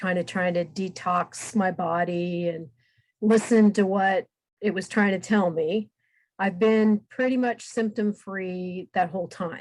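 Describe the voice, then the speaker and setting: A plain, everyday voice from a woman, medium in pitch, fairly slow, with fairly even intonation. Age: 60s. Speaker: guest with multiple sclerosis. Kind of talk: interview. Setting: podcast recording.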